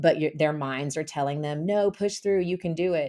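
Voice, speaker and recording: Over a quiet background, a woman's very deep, low voice carries a dark, mellow tone and fairly even intonation. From Tennessee. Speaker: high school English teacher. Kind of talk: interview; scripted narration. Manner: halting.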